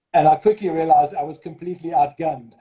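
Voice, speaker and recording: A man with a slight South African accent talks at a fairly quick pace in a dark, mellow, somewhat breathy tone with ordinary pitch variation. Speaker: school headmaster. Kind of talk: interview.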